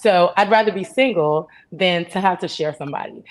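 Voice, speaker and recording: At a fairly quick pace, a woman talks in an unremarkable speaking voice at a medium pitch. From Canada. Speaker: panelist on dating. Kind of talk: panel discussion.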